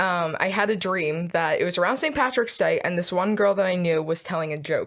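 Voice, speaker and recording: A woman with a Philadelphia accent at a fairly quick pace. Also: very clean recording, silent background. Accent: Philadelphia American. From US, Philadelphia. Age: 20s. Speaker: student guest. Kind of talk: casual chat.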